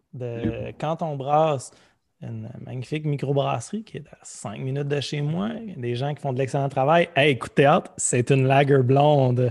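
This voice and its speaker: A man with an unremarkable speaking voice at a medium pitch, fairly slow in pace, with ordinary pitch variation and big swings in loudness. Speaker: podcast host. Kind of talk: casual chat.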